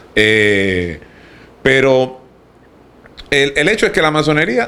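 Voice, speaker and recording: A man with a slight Cuban accent and lively intonation. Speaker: podcast panelist, freemason. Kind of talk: casual chat.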